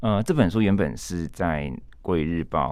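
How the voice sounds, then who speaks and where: A man is speaking. His pitch is very deep and low. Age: young. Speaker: author and translator. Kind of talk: casual interview.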